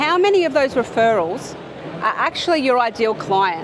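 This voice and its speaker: With an Australian accent, a woman speaks at a high pitch and moderate pace against noticeable background noise. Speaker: accountant and business speaker. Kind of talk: conference talk. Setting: stage with audience. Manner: animated.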